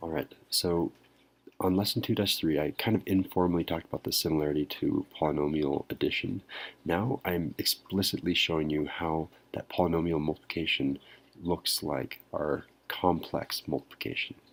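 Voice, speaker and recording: A soft-spoken man talks in a very deep, low pitch with ordinary pitch variation. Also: moderate pace, very clean recording, silent background. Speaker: math teacher. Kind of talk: lecture. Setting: at home at night.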